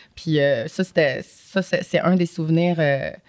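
A woman uses an ordinary speaking voice at a fairly low pitch. Her intonation is fairly even, and the sound is dry and close with no echo. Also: very clean recording, silent background. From Montreal, Quebec (Saint-Michel, Montréal-Nord). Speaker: film actress. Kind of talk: casual interview chat.

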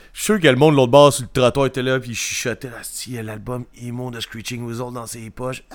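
Speaking in a Quebec accent at a fairly quick pace, the voice swings a lot in loudness with hardly any pauses. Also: man, medium pitch for a man. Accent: Québécois French. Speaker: podcast co-host, punk music reviewer. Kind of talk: casual chat. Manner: animated, laughing.

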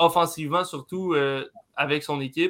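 Fairly slow and fairly high for a man, his bright, sharp tone keeps fairly even intonation. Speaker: hockey analyst. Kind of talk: casual sports talk. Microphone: network problems.

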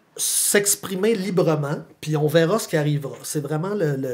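A man with a Quebec accent talks at a moderate pace, his fairly high pitch showing ordinary variation. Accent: Québécois French. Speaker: philosophy teacher and author. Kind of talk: casual interview chat.

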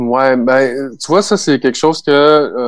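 At a fairly slow pace, a man speaks with a Quebec accent. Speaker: keyboardist and record producer. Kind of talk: casual interview.

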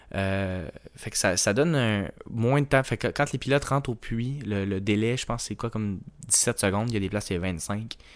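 A man with a Quebec accent talks at a moderate pace and fairly low pitch, with ordinary pitch variation. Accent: Québécois French. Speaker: podcast co-host. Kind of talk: casual chat.

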